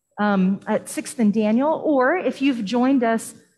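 At a very slow pace, a woman speaks in a somewhat breathy voice with ordinary pitch variation. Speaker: pastor leading worship. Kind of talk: sermon. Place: church.

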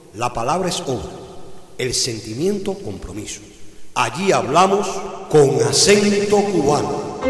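A man's high-pitched voice with very wide pitch swings at a fairly slow pace, long and frequent pauses, audible room echo and faint music in the background. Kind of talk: radio program intro. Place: studio.

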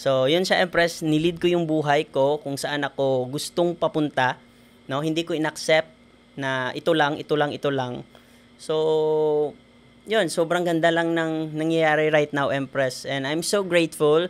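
A man's fairly high voice with a Western Visayan accent, at a fairly slow pace with fairly even intonation. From Philippines, Negros Occidental (Himamaylan City); Negros Occidental, Philippines. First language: Hiligaynon (speaking Tagalog). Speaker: engineer and network marketer; podcast guest. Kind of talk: interview. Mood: cheerful, grateful. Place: studio. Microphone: studio mic.

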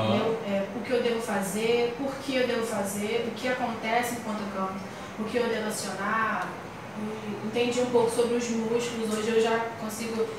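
A woman speaks at a moderate pace and fairly high pitch in a monotone, flat intonation. Strong room echo and noticeable background noise fill the recording. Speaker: singer and music teacher. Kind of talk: interview answer. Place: studio.

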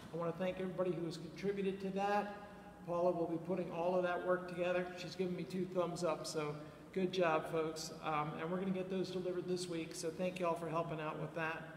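A man speaks at a very fast pace with a high pitch and monotone, flat intonation. Light background noise and audible room echo are present. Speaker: pastor leading a service. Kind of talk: church announcements and scripture reading. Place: church. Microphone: headset.

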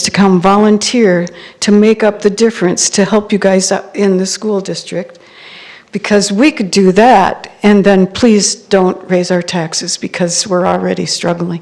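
The woman's intonation is fairly even, with noticeable background noise behind her. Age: 70s. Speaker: senior citizen, public commenter. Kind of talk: public comment at hearing.

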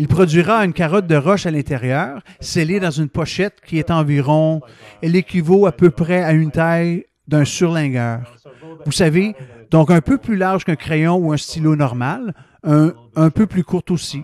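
A fairly slow, fairly high-pitched man's voice with ordinary pitch variation and a dry sound with no echo. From Canada. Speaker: professor and planetary geologist; professor. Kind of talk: interview. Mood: calm, enthusiastic explaining. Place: office. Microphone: headset.

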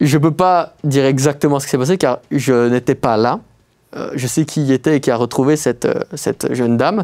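Over a quiet background, a man of medium pitch talks at a moderate pace with a dark, mellow tone and ordinary pitch variation. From Belgium, Liège; Belgium. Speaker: urban explorer; guest. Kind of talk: casual interview. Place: studio.

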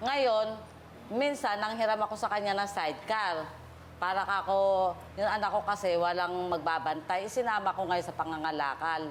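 Her pitch is medium for a woman, her pitch variation ordinary, and this woman keeps a moderate pace. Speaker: guest in a neighborhood dispute on a TV confrontation show. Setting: TV studio.

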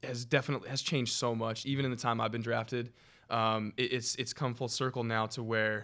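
A man talks at a fairly quick pace in a bright, sharp tone with monotone, flat intonation against a quiet background. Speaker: podcast guest. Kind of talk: interview answer. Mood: relaxed, friendly. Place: studio. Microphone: studio mic.

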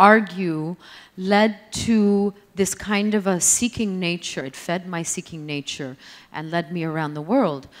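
A woman's voice at a fairly slow pace with ordinary pitch variation. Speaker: guest. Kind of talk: interview answer. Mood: reflective. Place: stage. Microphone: handheld.

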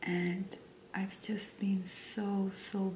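Over light background noise, a soft-spoken woman is whispering. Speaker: stay-at-home mom and ASMR creator. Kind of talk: casual talk to camera, life update. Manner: soft-spoken, whispering. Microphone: studio mic.

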